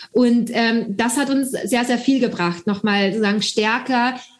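A woman talks at a moderate speed, her pitch varying in an ordinary way, amid noticeable background noise. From Austria. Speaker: startup founder and doctor. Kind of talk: interview. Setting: video call.

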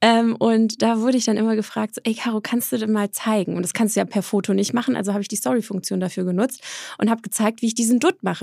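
A woman speaks very fast at a fairly high pitch. The recording is very clean, with a silent background. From Swabia, southern Germany (Eislingen near Stuttgart). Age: 30s. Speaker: entrepreneur and influencer. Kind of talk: interview.

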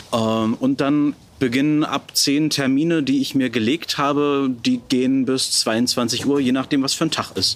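A man's medium-pitched, ordinary speaking voice at a fairly slow pace, with ordinary pitch variation. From Brandenburg, Germany. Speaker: pastor. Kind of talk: interview.

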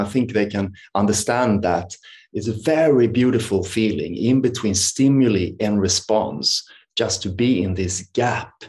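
A man with a Swedish accent, fairly low in pitch, at a moderate pace. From Sweden. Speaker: meditation and yoga teacher. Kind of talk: interview conversation. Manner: halting.

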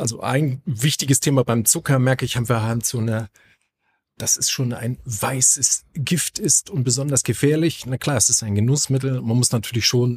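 Somewhat breathy speech comes at a moderate pace with ordinary pitch variation. The recording is very clean and dry, close with no echo, over a silent background. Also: man. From northern Germany. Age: 40s. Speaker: gym owner and fitness trainer. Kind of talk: casual podcast chat. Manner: hesitant, many filler sounds.

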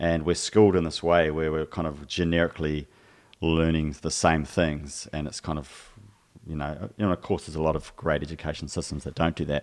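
In a very clean recording with a silent background, a man with a very deep, low voice talks fairly quickly in a flat monotone. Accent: New Zealand. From New Zealand. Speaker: physical and vocal therapist. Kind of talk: casual chat.

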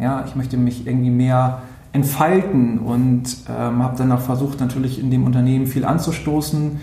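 A man at medium pitch and moderate pace, fairly even in intonation, with audible room echo and noticeable background noise. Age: 30s. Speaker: social media agency owner. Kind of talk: interview. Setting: office.

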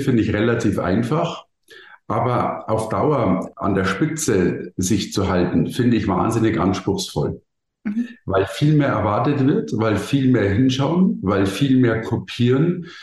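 At a fairly slow pace, a man with a somewhat breathy voice speaks with lively intonation and very even loudness. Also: medium pitch for a man. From Bavaria, Germany. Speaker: keynote speaker and marketing consultant. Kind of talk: interview. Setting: podcast studio.

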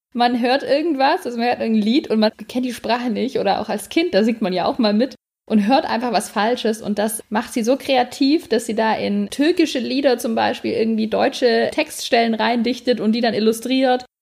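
At a moderate pace and with hardly any pauses, a woman speaks in a fairly high pitch with vocal fry and ordinary pitch variation. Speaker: podcast co-host. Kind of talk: casual chat.

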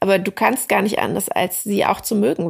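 Vocal fry runs through this voice, and its pitch moves in an ordinary way. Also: woman. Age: 40s. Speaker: novelist. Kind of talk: interview. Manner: hesitant with many fillers.

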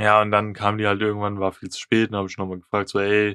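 In a quiet background with dry, close sound and no echo, a man rattles off words at a very fast pace in a fairly low, flat monotone. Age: 20s. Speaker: podcast co-host. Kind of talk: casual chat.

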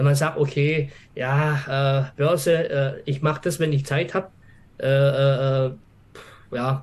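A man speaks in a somewhat breathy voice. His pitch is fairly high. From Swabia, southern Germany. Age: 50s. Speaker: office employee and trading course client. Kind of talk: interview. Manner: halting, many fillers.

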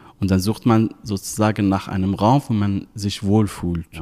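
In an Arabic accent, a man speaks at a moderate pace, his fairly low voice dark and mellow, with fairly even intonation. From Syria. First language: Arabic (speaking German). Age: 30s. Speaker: volunteer. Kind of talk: interview. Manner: hesitant with fillers.

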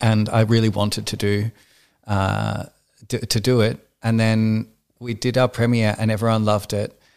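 Over a very clean, silent background, a man with an Australian accent speaks at a moderate pace in a fairly low pitch, his intonation monotone and flat, with long, frequent pauses. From rural Australia (Victoria). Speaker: drag performer. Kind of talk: casual chat.

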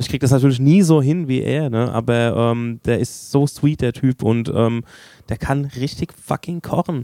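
Recorded dry and close with no echo, a man talks at a moderate pace and medium pitch with ordinary pitch variation. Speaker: podcast host. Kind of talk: casual chat.

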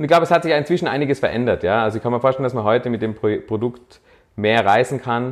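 This man rushes along at a very fast pace, his medium pitch showing ordinary variation. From Austria, Tyrol (Innsbruck). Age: 30s. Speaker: startup founder. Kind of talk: interview. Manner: hesitant, many filler sounds.

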